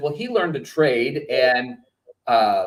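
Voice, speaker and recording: Speech at a moderate pace with an American accent. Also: man. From Texas. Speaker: trader and trading firm co-founder. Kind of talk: interview. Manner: halting.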